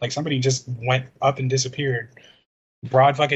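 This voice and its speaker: At a fairly quick pace, a man speaks in a somewhat breathy voice of medium pitch. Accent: American. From Chicago, US Midwest. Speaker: podcast co-host. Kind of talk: casual chat. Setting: video call.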